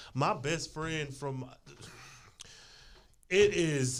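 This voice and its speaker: A man's fairly high, lively voice with vocal fry, at a very slow pace. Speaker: podcast panelist. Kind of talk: casual chat.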